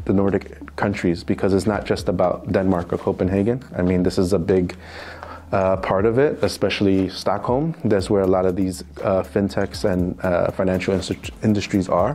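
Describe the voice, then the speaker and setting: A man with an American accent and a very deep, low pitch keeps his loudness very even over noticeable background noise. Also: ordinary pitch variation, moderate pace. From US, New York City. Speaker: financial crime compliance specialist. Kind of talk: interview. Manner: hesitant, many fillers.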